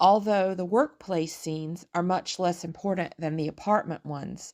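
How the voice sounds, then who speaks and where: A woman with a medium pitch speaks at a moderate pace. Her tone is calm. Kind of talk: film review voice-over.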